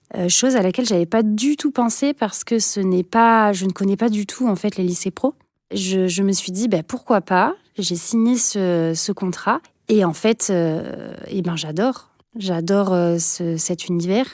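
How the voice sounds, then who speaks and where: A woman speaks fairly slowly at a medium pitch with ordinary pitch variation. The recording is very clean, with a silent background and a dry, close sound with no echo. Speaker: teacher. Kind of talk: interview testimony. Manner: hesitant with frequent fillers.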